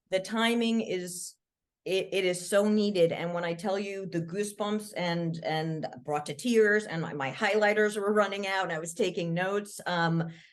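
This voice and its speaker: At a moderate pace, a woman with a plain, everyday voice speaks at a medium pitch with fairly even intonation. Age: 50s. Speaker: podcast host. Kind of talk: interview.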